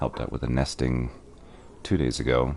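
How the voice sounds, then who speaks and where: Clearly audible background noise behind a man talking at a medium speed in a very deep, low register. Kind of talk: casual gameplay commentary. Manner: quieter than usual.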